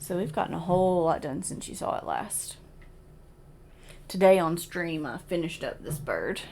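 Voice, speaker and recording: Audible room echo surrounds a woman with a fairly low pitch who talks at a moderate pace with fairly even intonation and long, frequent pauses. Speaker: cross-stitch video creator. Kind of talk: casual hobby vlog.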